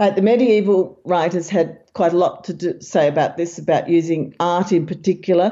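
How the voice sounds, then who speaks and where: With hardly any pauses, a woman with an unremarkable speaking voice talks at a moderate pace, a fairly low pitch and fairly even intonation. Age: 60s. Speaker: author and memory researcher. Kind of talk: interview.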